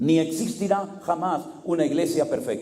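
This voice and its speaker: Speech comes at a fairly slow pace, with audible room echo and noticeable background noise. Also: man. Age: 60s. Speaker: pastor. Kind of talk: sermon.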